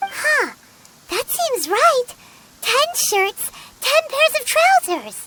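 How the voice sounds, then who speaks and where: A squeaky, put-on character voice moves along at a very slow pace. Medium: video game. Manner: chatty.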